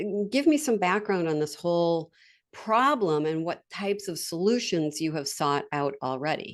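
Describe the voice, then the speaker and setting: Lively intonation at a moderate pace over a quiet background. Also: woman, fairly low pitch for a woman. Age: 60s. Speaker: sales coach and franchise consultant. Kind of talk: podcast interview. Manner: halting.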